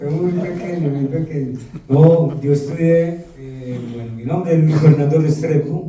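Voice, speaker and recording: A man's fairly high voice at a fairly slow pace, with fairly even intonation, big swings in loudness, audible room echo and noticeable background noise. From Colombia, Medellín. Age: 60s. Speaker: rock vocalist. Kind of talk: interview. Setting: live event with audience at rock museum.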